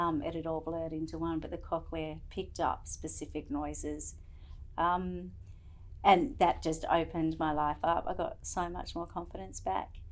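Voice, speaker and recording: Moderate-paced speech with an Australian accent. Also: woman. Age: 40s. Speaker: cochlear implant recipient. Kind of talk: testimony.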